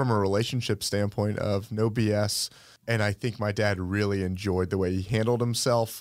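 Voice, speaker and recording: A plain, everyday voice from a man with an American accent, fairly low in pitch, at a moderate pace and very even loudness. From Atlanta, US South (Sandy Springs). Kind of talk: interview.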